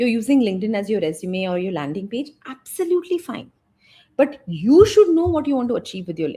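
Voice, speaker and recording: A woman with an Indian accent talks at a very fast pace in a fairly high pitch. Her tone is dark and mellow, with very wide pitch swings. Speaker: business and brand coach. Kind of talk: interview conversation. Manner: animated.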